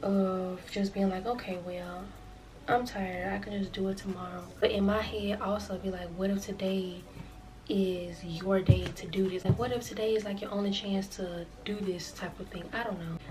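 A woman talks at a moderate pace while music plays behind her. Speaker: vlogger. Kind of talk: casual vlog chat. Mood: reflective, easygoing. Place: home room.

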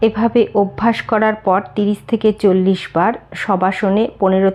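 With a dark, mellow tone, a woman speaks at medium pitch in a monotone, flat delivery. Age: 50s. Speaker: yoga vlogger. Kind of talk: tutorial.

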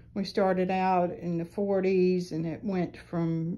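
The voice has a dark, mellow tone, little pitch movement and a slow pace. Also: woman.

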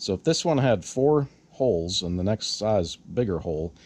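A man with a low pitch speaks in a slightly mellow tone, lively in intonation and with a slightly husky edge. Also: moderate pace.

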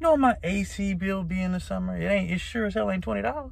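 A man's voice, dry with no echo. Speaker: comedy vlogger. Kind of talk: casual vlog chat. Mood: joking, playful. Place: car. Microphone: phone near.

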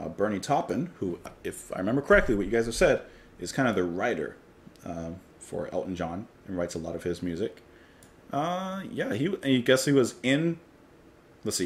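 A man talks with very wide swings in pitch. His speech is broken up by long, frequent pauses. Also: moderate pace. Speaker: music reaction channel host. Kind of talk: casual reaction commentary. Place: home room.

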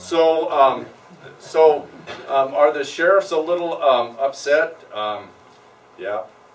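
A man with an American accent talks very slowly in a fairly high voice, his intonation lively, with long, frequent pauses and noticeable background noise. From Colorado. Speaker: county sheriff. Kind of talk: talk and Q&A at a public meeting.

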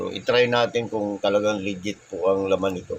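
Fairly low-pitched, monotone speech from a man over noticeable background noise. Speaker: delivery rider and motovlogger. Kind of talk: product unboxing vlog. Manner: halting, many fillers.

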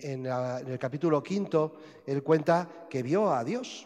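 A man with a Spanish accent, talking at a very slow pace over a quiet background. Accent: Spanish (Spain). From Spain. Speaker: priest. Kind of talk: sermon. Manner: halting. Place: church.

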